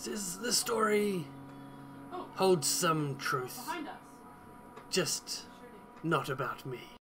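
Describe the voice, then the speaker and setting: A man puts on a character voice, fairly high in pitch, with clear background noise behind him. He goes at a very slow pace with long, frequent pauses. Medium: actual play. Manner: haughty, sly.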